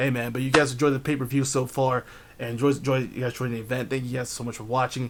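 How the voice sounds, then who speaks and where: Speaking very fast in an American accent, a man of medium pitch sounds animated and somewhat breathy. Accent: New Jersey accent, coming out more today. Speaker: video game match commentator. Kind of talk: live commentary.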